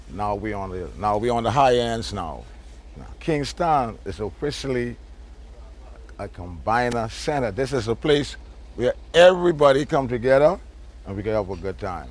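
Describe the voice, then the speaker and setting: Man at medium pitch and moderate pace, with lively intonation, big loudness swings, long, frequent pauses and vocal fry. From Turks and Caicos. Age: 60s. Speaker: local resident. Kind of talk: interview.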